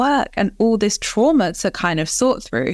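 A woman with an English accent speaks at a moderate pace, her pitch fairly high. The recording is very clean, with a silent background. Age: 30s. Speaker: life coach and author. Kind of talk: casual interview, personal story.

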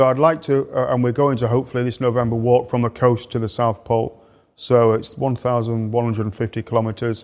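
Speaking very fast in a flat monotone, a man with an English accent talks at medium pitch. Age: 50s. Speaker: polar explorer and leadership mentor. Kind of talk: interview. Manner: repetitive hesitant starts.

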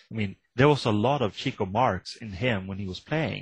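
Against a quiet background, a man talks at a moderate pace in a fairly low, somewhat breathy voice. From Sweden. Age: 50s. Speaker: author. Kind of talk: interview.

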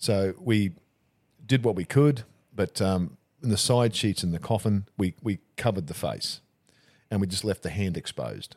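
A man with an Australian accent speaks in a fairly low pitch with ordinary variation, leaving long, frequent pauses. The sound is dry and close, with no echo. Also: moderate pace. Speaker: funeral director. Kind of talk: casual chat.

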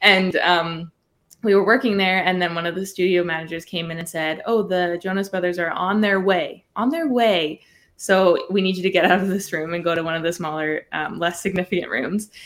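A plain, everyday voice from a woman, medium in pitch, fairly quick in pace, with fairly even intonation. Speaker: singer-songwriter and TikToker. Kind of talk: interview chat.

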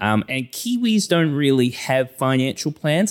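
A man with a New Zealand accent on a very clean recording with a silent background. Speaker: financial advisor. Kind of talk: casual interview. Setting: studio.

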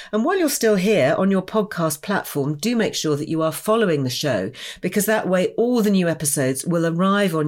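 Using a normal speaking voice, a woman talks at a fairly quick pace with lively intonation and a fairly low pitch. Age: 60s. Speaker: podcast host. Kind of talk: interview conversation.

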